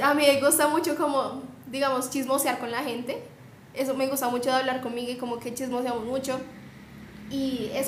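Against noticeable background noise and audible room echo, a woman speaks in a high voice at a moderate pace with fairly even intonation. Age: young. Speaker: podcast co-host, psychology student. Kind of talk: casual chat.

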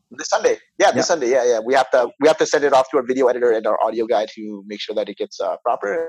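Talking at a very fast pace, a man with a Canadian accent and fairly high pitch uses lively intonation, in a dry, close sound with no echo against a quiet background. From suburb of Toronto, Canada. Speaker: podcast host. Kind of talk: casual chat.

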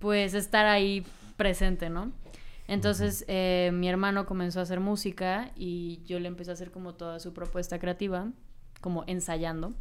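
In a room with audible echo, a woman speaks at medium pitch with monotone, flat intonation and big swings in loudness. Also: moderate pace. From Mexico, Cancún. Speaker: singer and audiovisual artist. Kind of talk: interview.

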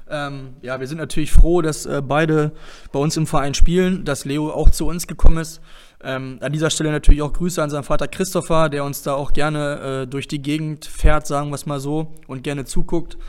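This man's voice is fairly high, with monotone, flat intonation. He talks at a fairly quick pace, and his loudness swings widely. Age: 20s. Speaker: darts club podcast host. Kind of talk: casual interview podcast. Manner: hesitant, many fillers.

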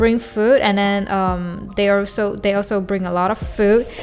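Over music in the background, a woman speaks at a medium pitch and a fairly slow pace with fairly even intonation. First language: Chinese. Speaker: solo podcast host. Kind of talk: casual monologue. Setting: home recording with mic. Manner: halting, many repetitions and fillers.

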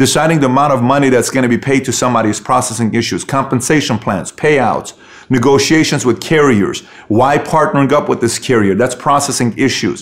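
The man talks at a fairly quick pace with medium pitch. His loudness stays very even, with ordinary pitch variation. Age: 30s. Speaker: podcast host and entrepreneur. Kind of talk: solo motivational monologue. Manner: animated, repetitive emphasis.

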